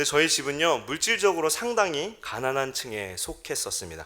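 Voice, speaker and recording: A man's fairly high voice with very wide pitch swings, vocal fry and a bright, sharp tone, at a fairly quick pace. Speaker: pastor. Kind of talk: sermon. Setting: church.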